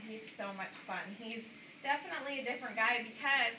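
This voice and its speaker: A woman's fairly high, lively voice at a moderate pace, with audible room echo and noticeable background noise. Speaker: zoo animal presenter. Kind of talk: live animal demonstration talk. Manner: loud. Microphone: no mic or handheld mic, no clip.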